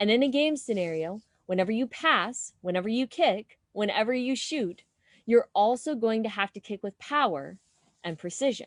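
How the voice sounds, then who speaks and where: A woman with a plain, everyday voice speaks at a moderate pace and a fairly high pitch, with lively intonation. The background is quiet and the sound is dry and close, with no echo. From United States. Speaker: keynote speaker. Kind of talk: keynote talk.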